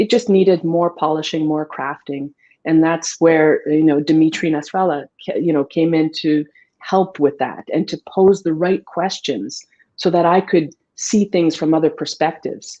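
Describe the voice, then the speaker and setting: A woman's dark, mellow, fairly low voice with a French accent and ordinary pitch variation. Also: moderate pace. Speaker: author. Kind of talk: interview.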